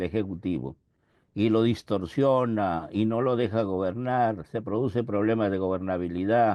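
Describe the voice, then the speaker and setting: Against a quiet background, a man with a dark, mellow tone speaks fairly slowly with lively intonation. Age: 80s+. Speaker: professor. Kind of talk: lecture. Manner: halting, with frequent self-corrections.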